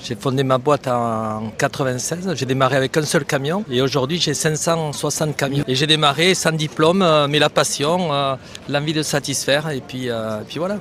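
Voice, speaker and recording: A man talks with a fairly high pitch. His pace is moderate, and his pitch varies in an ordinary way. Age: 60s. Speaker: trucking company founder. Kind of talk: street interview. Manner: hesitant, frequent fillers.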